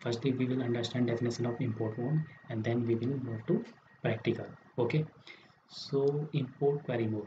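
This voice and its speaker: A quiet man's voice at medium pitch and a moderate pace, with fairly even intonation. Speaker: software tutor. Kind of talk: screen-recorded software tutorial. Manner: quiet, low volume.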